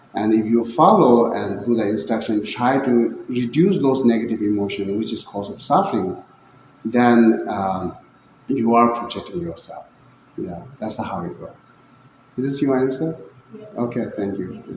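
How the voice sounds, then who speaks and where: A man with a medium-pitched voice talks at a moderate pace with ordinary pitch variation. His loudness swings widely against noticeable background noise. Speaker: Buddhist teacher. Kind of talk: dharma talk.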